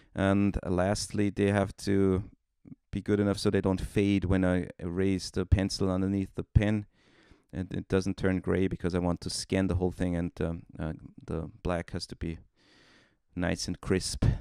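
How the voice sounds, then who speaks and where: Flat and monotone, the speech comes with a German accent in a very clean recording with a silent background and a dry, close sound with no echo. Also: man, very deep, low pitch for a man, moderate pace. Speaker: comic artist. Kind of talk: tutorial. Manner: hesitant, many fillers.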